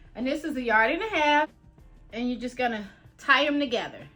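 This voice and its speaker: A woman's high-pitched, raised and projected voice over background music. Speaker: sewing and DIY crafter. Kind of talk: casual DIY tutorial talk. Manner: casual, chatty.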